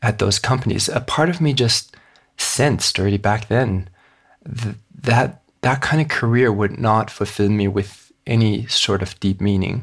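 At a moderate pace, a man with a medium pitch and a somewhat breathy voice speaks with ordinary pitch variation. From Hong Kong. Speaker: author and economic reformer. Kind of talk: interview. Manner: halting with fillers.

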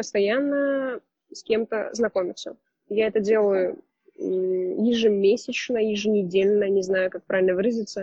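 A woman speaks at a fairly slow pace in a fairly high pitch, with an ordinary speaking voice. Her loudness swings widely from moment to moment. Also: ordinary pitch variation. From Russia, Saint Petersburg. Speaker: photographer. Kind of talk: casual interview.

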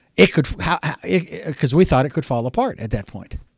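This is a man with a fairly high pitch. The recording is very clean, with a silent background. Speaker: radio host. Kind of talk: radio promo read.

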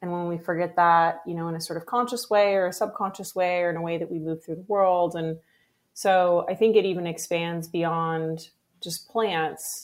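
A woman with an American accent has an unremarkable speaking voice, fairly low in pitch with fairly even intonation, on a very clean recording with a silent background. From US Pacific Northwest. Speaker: herbalist and herbal supplement founder. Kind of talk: interview conversation.

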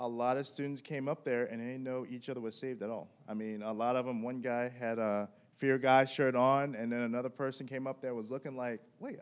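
A man's normal speaking voice at a medium pitch, fairly quick and nearly pause-free, with fairly even intonation. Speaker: young outreach team member. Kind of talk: casual testimony.

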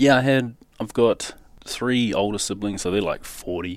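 A man speaks with a New Zealand accent. The recording is very clean, with a silent background. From New Zealand, South Auckland. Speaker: scaffolder and rigger. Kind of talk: personal testimony interview.

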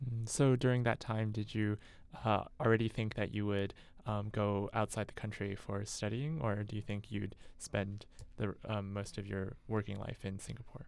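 On a very clean recording with a silent background, a man with a plain, everyday voice speaks at a moderate pace, fairly low in pitch, with fairly even intonation. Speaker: student podcast host. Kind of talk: interview. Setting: studio.

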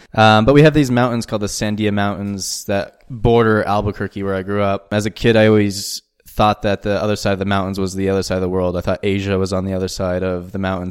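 In a very clean recording with a silent background, a man with an American accent and fairly low pitch speaks at a very fast pace with hardly any pauses and fairly even intonation. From US Southwest, New Mexico. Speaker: startup managing director. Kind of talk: interview.

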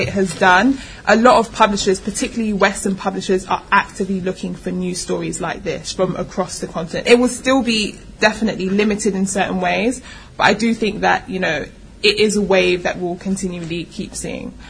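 Her pitch moves in a typical way. The woman speaks rather quickly. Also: medium pitch for a woman. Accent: London. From London. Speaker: publisher and founder of an online publishing company. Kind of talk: panel discussion. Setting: live panel with audience.

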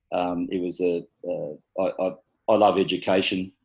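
In an Australian accent, a man with a very deep, low pitch and a dark, mellow tone speaks against a quiet background. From Australia, Sydney's rural north-west. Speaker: local councillor. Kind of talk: interview. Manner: halting, many fillers.

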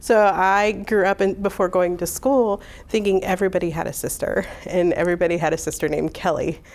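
With a Midwestern American accent, a woman of medium pitch speaks at a fairly quick pace with hardly any pauses and fairly even intonation. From US Midwest, Hammond, Indiana. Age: 40. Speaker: oral history interviewee. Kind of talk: personal storytelling.

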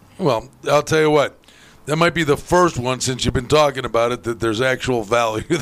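A plain, everyday voice moves fairly quickly, its pitch varying in an ordinary way. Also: man, medium pitch for a man. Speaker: sports radio host. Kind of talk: casual chat. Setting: studio.

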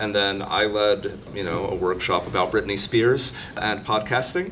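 With music in the background, a man keeps a moderate pace as he talks. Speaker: podcast host. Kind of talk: live panel discussion. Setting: stage with audience.

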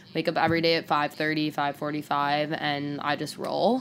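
This woman's pitch is very deep and low. Her pitch varies in an ordinary way. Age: 20s. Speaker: social media creative director. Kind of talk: casual chat.

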